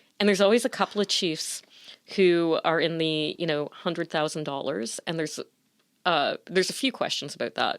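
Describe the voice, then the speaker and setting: A woman with an unremarkable speaking voice in a Canadian accent, fairly low pitch and ordinary pitch variation at a moderate pace, on a very clean recording, silent background, with a dry, close sound with no echo. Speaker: broadcast journalist. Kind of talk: interview conversation.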